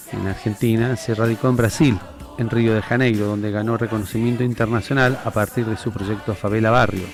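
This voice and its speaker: With music playing in the background, a man speaks at a fairly quick pace with fairly even intonation. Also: medium pitch for a man. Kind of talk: interview host questions.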